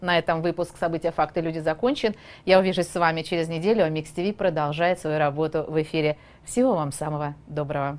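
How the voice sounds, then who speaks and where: Talking at a very fast pace, a woman with a fairly low pitch varies her pitch in an ordinary way. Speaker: news presenter. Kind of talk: news reading. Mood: laughing blooper break. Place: studio.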